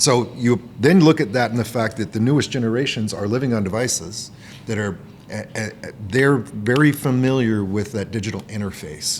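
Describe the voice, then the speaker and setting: Over noticeable background noise and audible room echo, a man speaks at a moderate pace with a medium pitch and ordinary pitch variation. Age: 50s. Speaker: podcast host. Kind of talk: casual chat. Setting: conference recording.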